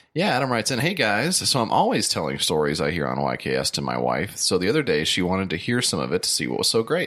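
Talking fast at a low pitch, a man uses a fairly bright tone and big pitch swings.

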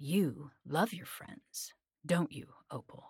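A woman's put-on character voice, low in pitch and slow, slightly mellow with a husky, rough edge and ordinary pitch variation

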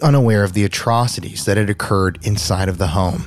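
A man talks at a fairly quick pace with a fairly low pitch. It is an ordinary speaking voice. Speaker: true crime podcast host. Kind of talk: dramatic true-crime narration. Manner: somber, hushed, suspenseful delivery.

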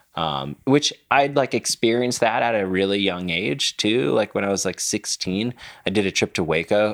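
Recorded very cleanly with a silent background and a dry, close sound with no echo, a man speaks fairly low at a moderate pace with ordinary pitch variation. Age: 30s. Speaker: professional rock climber. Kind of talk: casual chat. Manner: animated.

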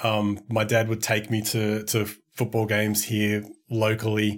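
Someone with an Australian accent talks at a very slow pace. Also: man, very clean recording, silent background. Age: 40s. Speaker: media company co-founder and games writer. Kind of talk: casual chat.

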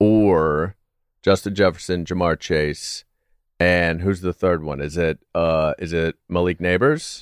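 A man's very deep, low voice at a very slow pace with fairly even intonation, dry and close with no echo, on a very clean recording with a silent background. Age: 40s. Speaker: comedian and Steelers fan guest. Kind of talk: casual chat.

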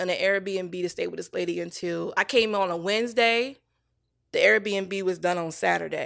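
A woman with a Virginia accent on a very clean recording with a silent background. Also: moderate pace. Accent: Southern American (Virginia). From US South, small-town Virginia. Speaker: TV showrunner and writer. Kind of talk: casual chat, personal testimony. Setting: studio. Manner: animated storytelling.

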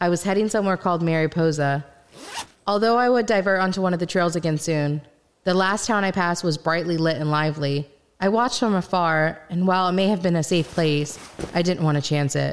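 A woman with a normal speaking voice, fairly low pitch, ordinary pitch variation, very even loudness and a fairly quick pace. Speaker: first-person narrator and voice actor playing the main character in an audio drama. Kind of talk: dramatic audio-drama narration, first-person and scripted, with in-character dialogue.

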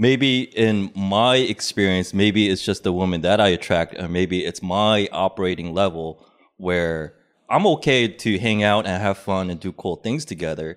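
A man with an American accent talks at a moderate pace in an ordinary speaking voice, fairly low in pitch with ordinary pitch variation. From Korean American upbringing. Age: 30s. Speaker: podcaster, guest. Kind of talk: casual chat.

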